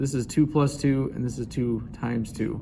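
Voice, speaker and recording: A man talks at a moderate pace, his tone dark and mellow and his voice somewhat breathy. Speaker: math teacher. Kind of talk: tutorial.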